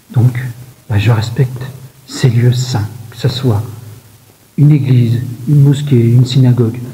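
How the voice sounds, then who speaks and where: Whispering and soft-spoken, the speaker keeps a very even loudness at a fairly slow pace with long, frequent pauses over noticeable background noise. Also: man. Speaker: hiking vlogger. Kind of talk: vlog narration. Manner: whispering in church.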